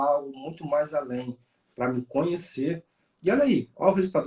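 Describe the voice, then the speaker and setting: Pitched fairly high, a man talks at a fairly quick pace. His tone is dark, mellow and somewhat breathy. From Rio de Janeiro, Brazil. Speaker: police chief and exam mentor. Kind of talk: interview chat.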